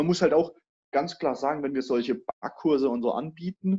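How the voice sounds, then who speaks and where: A man's dark, mellow voice rises and falls with lively intonation against a quiet background. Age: 20s. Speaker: master baker. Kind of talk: casual interview chat.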